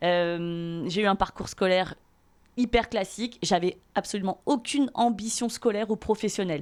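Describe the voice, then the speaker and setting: An unremarkable speaking voice from a woman, medium in pitch, with ordinary pitch variation, a moderate pace and very even loudness. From Paris region, Seine-et-Marne (France). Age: 30s. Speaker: podcast guest. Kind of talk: casual chat.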